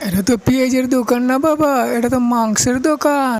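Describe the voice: A high-pitched, female-sounding cartoonish character voice at a moderate pace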